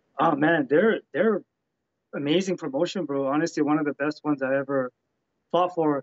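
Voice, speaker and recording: A man talks at a fairly quick pace with long, frequent pauses and fairly even intonation. The sound is dry with no echo over a quiet background. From Canada. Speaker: professional MMA fighter; interviewee. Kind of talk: interview. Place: home room. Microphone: video call.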